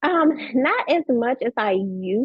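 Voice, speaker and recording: In a Southern US accent, a woman speaks at a very slow pace with lively intonation. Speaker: business coach and tax professional. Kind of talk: podcast interview.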